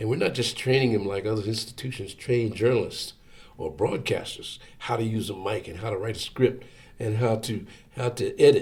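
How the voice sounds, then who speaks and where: A man with an American accent speaks at a moderate pace and medium pitch. His intonation is fairly even and his voice somewhat breathy. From Philadelphia area, Pennsylvania. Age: 70s. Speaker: radio station general manager. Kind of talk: oral history interview. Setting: radio studio.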